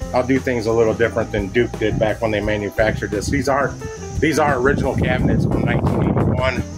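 Clear music plays in the background as a man talks at a very fast pace. His pitch varies in an ordinary way. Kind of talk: casual walkthrough commentary. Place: home room. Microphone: phone near.

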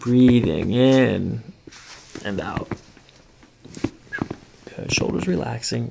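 A man's very slow, medium-pitched voice with a dark, mellow tone, vocal fry, ordinary pitch variation and audible room echo

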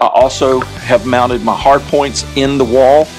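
Clear music sits in the background. The pitch shows ordinary variation. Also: man. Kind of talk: casual vlog chat. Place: home room. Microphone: phone near.

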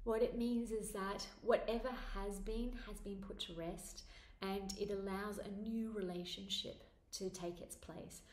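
Her loudness swinging widely, a woman with a medium pitch speaks in a calm tone with fairly even intonation amid audible room echo. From Australia. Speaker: spiritual author and meditation teacher. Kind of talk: guided meditation. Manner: calm, guiding, slow. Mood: calm, soft, soothing. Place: home room. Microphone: phone near.

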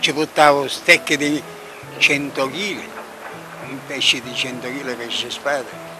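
A man at a fairly high pitch and a fairly slow pace, with lively intonation and long, frequent pauses, dry with no echo, clear music in the background. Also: big swings in loudness. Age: 80s+. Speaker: fisherman. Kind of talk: interview. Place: waterside. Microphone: handheld.

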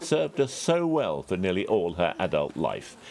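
At a moderate pace, a man with vocal fry speaks at a fairly low pitch with very wide pitch swings. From England. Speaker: news contributor. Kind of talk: news commentary segment. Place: home room. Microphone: webcam.

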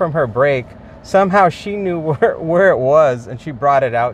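A man with lively intonation, a dry sound with no echo and light background noise. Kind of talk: casual vlog chat. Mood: frustrated, complaining. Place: car. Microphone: phone near.

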